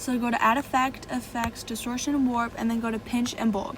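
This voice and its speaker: Through noticeable background noise, a woman speaks fairly quickly at a fairly high pitch. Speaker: video editing tutorial youtuber. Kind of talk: tutorial. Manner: fast.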